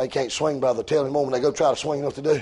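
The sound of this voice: A man talks at a very fast pace at a medium pitch. His tone is slightly mellow with a slightly husky edge, and his intonation is fairly even.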